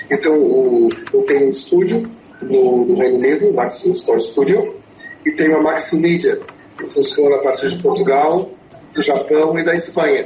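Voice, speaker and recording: A man with an English accent at a moderate pace, with noticeable background noise and audible room echo. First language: English (speaking Portuguese). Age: 60s. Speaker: writer and public speaker. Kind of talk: interview. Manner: halting, many fillers and repeats.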